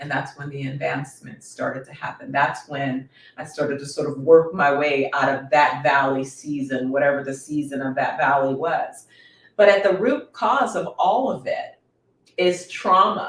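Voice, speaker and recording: Her loudness swings widely as a woman with a very deep, low pitch speaks at a moderate pace with ordinary pitch variation. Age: 50s. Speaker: wellness coach and educator. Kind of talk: casual chat. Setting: dinner at home with guests.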